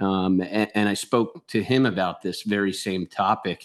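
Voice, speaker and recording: A man's fairly low voice with a Philadelphia accent, ordinary pitch variation and a moderate pace, over a quiet background. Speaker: baseball analyst and author. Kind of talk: sports analysis interview.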